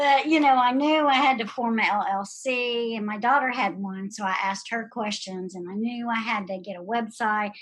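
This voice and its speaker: A woman with a normal speaking voice talks at a moderate pace with hardly any pauses, her fairly high pitch showing ordinary variation. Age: 60s. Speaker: pharmacist and nutrition specialist. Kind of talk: interview.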